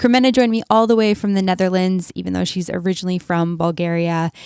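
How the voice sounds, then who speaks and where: A woman with a Canadian accent has an unremarkable speaking voice, medium pitch and ordinary pitch variation. The recording is very clean and dry, with a close sound, no echo and a silent background. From Canada. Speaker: podcast host. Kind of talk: podcast intro with ad read; podcast interview.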